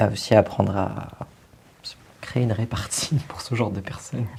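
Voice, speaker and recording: A man speaks with monotone, flat intonation. Noticeable background noise runs underneath. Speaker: drag performer. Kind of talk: talk show interview. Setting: studio. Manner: hesitant.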